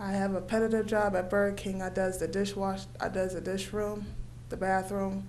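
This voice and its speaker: With an American accent, a woman talks in a space where room echo is audible. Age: 20s. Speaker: program participant. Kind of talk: short speech. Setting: county commissioners meeting. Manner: halting.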